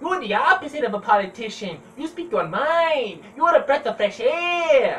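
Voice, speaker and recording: A high-pitched, put-on character voice runs on with hardly any pauses. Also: moderate pace. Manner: quick, cheerful.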